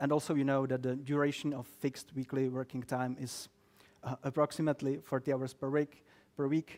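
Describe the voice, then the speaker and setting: A man's fairly high voice with a Czech accent, monotone and flat, at a fairly quick pace, in a very clean recording with a silent background and a dry, close sound with no echo. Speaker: lawyer. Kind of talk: talk to a live audience. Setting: office event with audience, streamed. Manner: halting, many fillers; dry humor.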